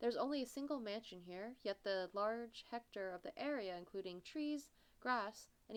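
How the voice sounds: Someone reads in a natural voice. There is lively intonation throughout.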